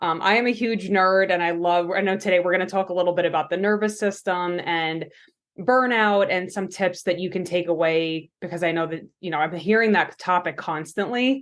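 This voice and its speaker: Against a quiet background, a woman with a Long Island accent talks fairly quickly, her fairly low voice holding fairly even intonation. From New York, Long Island. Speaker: pharmacist and coach. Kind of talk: podcast interview.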